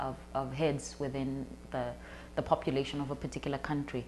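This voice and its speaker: With vocal fry and a very deep, low pitch, a woman talks at a moderate pace. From Botswana. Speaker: performance poet. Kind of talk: interview answer.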